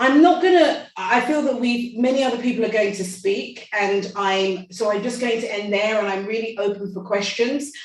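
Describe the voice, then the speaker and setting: In a room with audible echo, a woman with a fairly high pitch speaks at a moderate pace, with ordinary pitch variation and hardly any pauses. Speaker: medical expert. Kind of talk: panel talk. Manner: halting.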